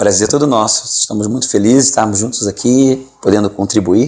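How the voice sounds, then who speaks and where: A man's fairly low voice in a Rio de Janeiro accent, dark and mellow in tone, monotone with flat intonation, at a moderate pace. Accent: carioca (Rio de Janeiro). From Rio de Janeiro, Brazil. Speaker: pastor, former professional footballer. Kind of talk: interview. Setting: studio.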